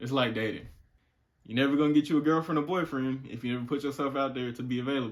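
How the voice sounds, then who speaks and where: A man at a very fast pace. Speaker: content creator. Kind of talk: casual chat.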